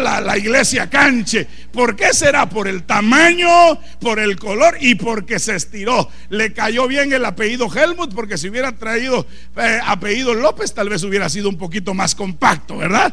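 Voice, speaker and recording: A man with a high pitch uses a raised, projected voice, animated in tone and lively in intonation, at a moderate pace. Room echo is audible and background noise is noticeable. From Guatemala. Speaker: pastor. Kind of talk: sermon.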